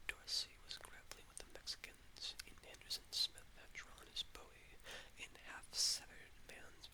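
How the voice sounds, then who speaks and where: The voice is whispering. It moves at a moderate pace. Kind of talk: novel reading. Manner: soothing.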